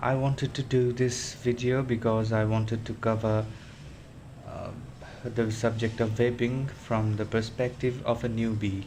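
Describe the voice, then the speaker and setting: With noticeable background noise, someone in a non-native accent speaks at a fairly slow pace in a monotone, flat delivery. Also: man. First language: not English. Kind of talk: casual talk to camera. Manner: hesitant, many fillers.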